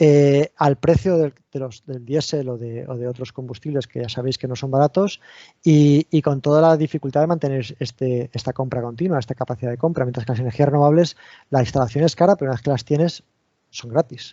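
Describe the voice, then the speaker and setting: A fairly high-pitched man at a fairly quick pace, with ordinary pitch variation. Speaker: university researcher, engineer. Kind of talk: technical talk at online seminar. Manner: hesitant, many repeated words and fillers.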